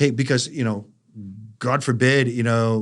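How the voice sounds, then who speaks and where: In a Boston accent, a man speaks at a medium pitch and a fairly quick pace with monotone, flat intonation on a very clean recording with a silent background. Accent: thick Boston. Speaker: life science industry consultant. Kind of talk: podcast interview. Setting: studio.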